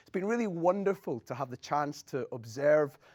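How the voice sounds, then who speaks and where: Here a man talks with a Scottish accent at a moderate pace. The sound is dry and close, without echo. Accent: Scottish brogue. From Scotland. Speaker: academic game music designer. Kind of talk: lecture.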